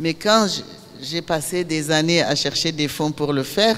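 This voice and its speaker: A woman's fairly low voice, fairly slow, with ordinary pitch variation and noticeable background noise. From Niger. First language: Zarma (Songhai) (speaking French). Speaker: filmmaker. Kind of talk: master class talk.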